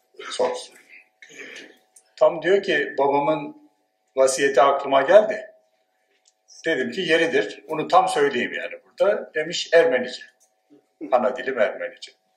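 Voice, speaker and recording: A man talks at a fairly slow pace with long, frequent pauses, his voice carrying an audible room echo. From Turkey, Dersim. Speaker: sociology professor. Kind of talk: conference talk. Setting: conference with audience.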